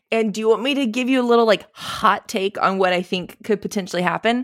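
A woman speaks at a fairly quick pace in an ordinary speaking voice, fairly high in pitch. Her intonation is lively, and the recording is very clean with a silent background. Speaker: podcast co-host. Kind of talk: casual chat.

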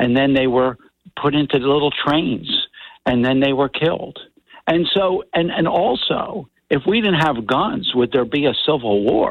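Fairly slow and very even in loudness, a man with a fairly high pitch and lively intonation talks in a normal speaking voice. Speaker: radio caller. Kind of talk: call-in opinion. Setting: phone call.

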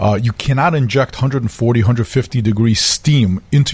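A somewhat breathy male voice of medium pitch with ordinary pitch variation. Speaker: flooring company executive. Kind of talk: expert advice on radio.

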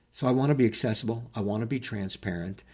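At a very fast pace, a man talks in a somewhat breathy, dark and mellow voice of medium pitch with ordinary pitch variation. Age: 60s. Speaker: political candidate; retired school principal. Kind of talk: casual interview. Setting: studio.

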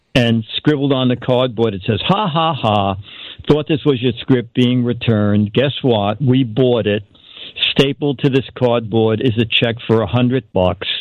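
A man speaks in a plain, everyday voice at a medium pitch. His pace is fairly slow, and his pitch varies in an ordinary way. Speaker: comedy writer and gadget reviewer. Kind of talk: casual chat. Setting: phone call.

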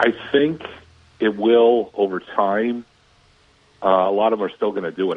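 A normal speaking voice, a man with an American accent talks at a moderate pace. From Minnesota. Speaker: sports reporter. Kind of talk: radio sports chat.

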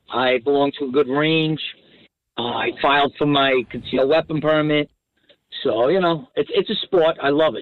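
A man with an American accent talks at a moderate pace in a normal speaking voice, fairly high in pitch, with ordinary pitch variation. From New Jersey. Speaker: caller. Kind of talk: casual chat. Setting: phone call.

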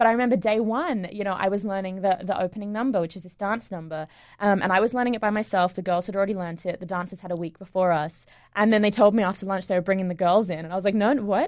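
A woman talking at a very fast pace against a quiet background. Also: medium pitch for a woman. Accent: Australian. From England and Australia. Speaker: musical theatre actress. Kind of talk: casual interview chat. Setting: studio.

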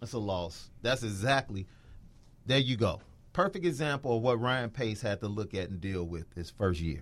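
A man's lively, medium-pitched voice at a moderate pace, on a very clean recording with a silent background. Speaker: radio sports podcast co-host. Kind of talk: casual sports talk. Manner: animated, opinionated.

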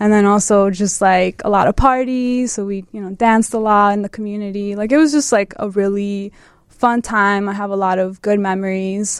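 A woman with an American accent has a plain, everyday voice. She keeps a moderate pace, a medium pitch and ordinary pitch variation. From Chicago suburbs, US Midwest. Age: 20s. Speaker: photographer. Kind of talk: interview.

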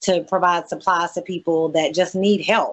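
A woman with a coastal Mississippi accent speaks at a medium pitch. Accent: Southern US (coastal Mississippi). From US South, Mississippi Gulf Coast. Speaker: entrepreneur and social media influencer. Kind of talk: interview.

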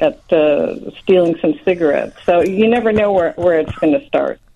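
Speaking in a normal speaking voice with an American accent, a woman keeps a medium pitch and lively intonation. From Chicago. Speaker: novelist. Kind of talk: radio interview. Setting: phone call.

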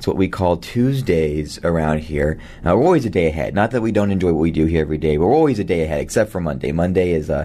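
A man's fast, low-pitched voice with lively intonation and a dark, mellow tone

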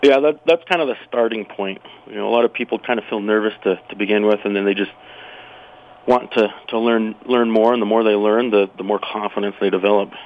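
A man talks in a fairly low voice with an American accent. Noticeable background noise sits behind him. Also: fairly even intonation, fairly quick pace. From Utah. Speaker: firearms instructor. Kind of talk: casual interview. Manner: halting, repeats words.

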